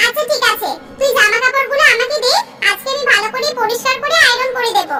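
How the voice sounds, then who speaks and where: In a cartoonish character voice, a woman squeaks at an extremely high pitch, moving at a fairly quick pace with ordinary pitch variation over light background noise. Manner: warm, trusting.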